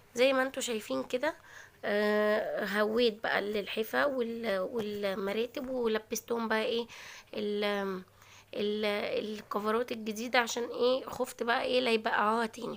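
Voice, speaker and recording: A woman with an Egyptian accent speaks at a moderate pace. Her pitch is fairly high and her intonation fairly even. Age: 20s. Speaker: cooking and lifestyle vlogger. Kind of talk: vlog narration. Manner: casual, chatty.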